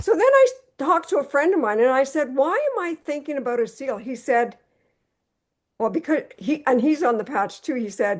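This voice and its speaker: A high-pitched woman talks at a moderate pace with lively intonation. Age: 70s. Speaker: product user giving testimony. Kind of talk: testimony.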